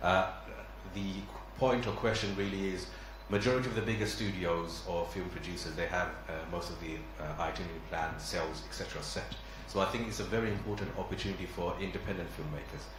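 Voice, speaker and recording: Very fast male speech amid noticeable background noise and audible echo from the room. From London, England. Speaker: film producer. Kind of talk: question at press conference.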